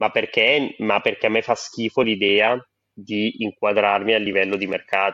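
This man talks at a moderate pace in a fairly low voice. His intonation is monotone and flat. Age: 20s. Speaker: poet and meme artist. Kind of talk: casual chat.

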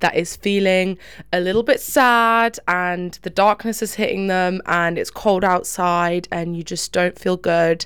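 On a very clean recording with a silent background, a woman with an ordinary speaking voice and medium pitch talks at a fairly slow pace with fairly even intonation. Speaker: podcast co-host. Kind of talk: pep talk. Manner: warm, encouraging, affectionate.

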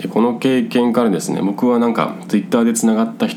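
A man of medium pitch talks at a fairly quick pace amid noticeable background noise and audible room echo. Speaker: podcast host, self-renovating rural migrant. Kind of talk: casual solo talk. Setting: hot room at home. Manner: rambling, filler-heavy.

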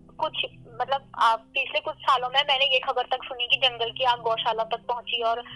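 A woman talks with a high pitch at a moderate pace. Her intonation stays fairly even. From Uttarakhand, India. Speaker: law student and radio presenter. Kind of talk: interview on environmental issue. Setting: phone call.

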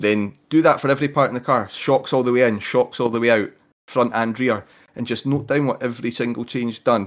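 Over a silent background in a very clean recording, a man with an Edinburgh accent talks at a fairly quick pace with fairly even intonation. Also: medium pitch for a man. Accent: Scottish (Edinburgh). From Scotland, Edinburgh. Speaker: RC car racer. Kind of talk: casual chat.

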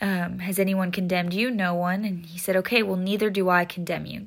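A woman with a somewhat breathy voice talks at a medium pitch and a moderate pace. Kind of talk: devotional bible talk.

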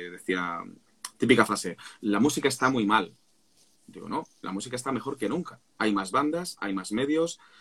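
A man with a plain, everyday voice speaks fairly quickly at a fairly low pitch. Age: 40s. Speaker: singer and vocal coach. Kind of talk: casual chat.

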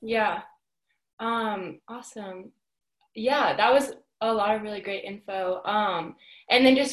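At a moderate pace, a woman with a normal speaking voice holds a medium pitch and ordinary pitch variation. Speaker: student interviewer. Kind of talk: oral history interview.

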